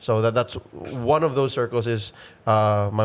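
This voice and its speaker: A man talks with a Filipino accent. His pitch is fairly low. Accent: Filipino English, code-switching with Tagalog. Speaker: esports caster. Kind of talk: casual interview. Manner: halting, many fillers.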